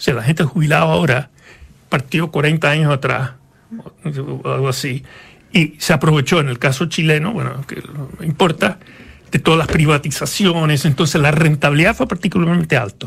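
A man's normal speaking voice, fairly high in pitch, with ordinary pitch variation and a moderate pace. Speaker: economist. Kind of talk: interview. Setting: studio.

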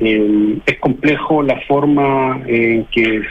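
Against noticeable background noise, a man speaks at medium pitch with fairly even intonation. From Chile. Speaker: community leader. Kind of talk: radio interview. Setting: phone call. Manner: halting.

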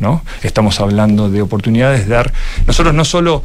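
Someone speaks in an Argentine accent at a moderate pace with ordinary pitch variation. There is audible room echo. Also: man. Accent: clear Argentine. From Argentina. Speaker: venture capital partner. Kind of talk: radio interview. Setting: studio.

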